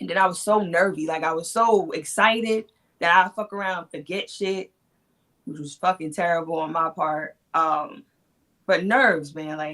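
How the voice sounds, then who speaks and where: A woman speaks at a fairly slow pace in a bright, sharp tone, her fairly low voice moving with ordinary pitch variation. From New York. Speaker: battle rapper. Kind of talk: casual interview. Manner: soft-spoken.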